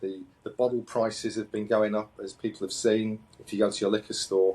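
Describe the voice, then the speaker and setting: A man with a British accent talks at a moderate pace. His fairly low voice stays monotone and flat. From UK. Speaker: company founder and CEO. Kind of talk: interview. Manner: halting, many repetitions and fillers.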